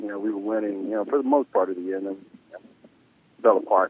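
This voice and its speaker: In an American accent, a man speaks with a fairly low pitch. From US South. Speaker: former baseball player and coach. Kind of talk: interview. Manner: halting, many fillers.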